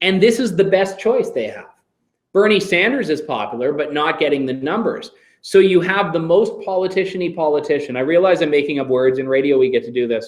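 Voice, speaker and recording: A man with a Canadian accent at a high pitch, fairly quick pace and lively intonation, with audible room echo. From Canada. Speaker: radio host. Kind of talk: Q&A session with students.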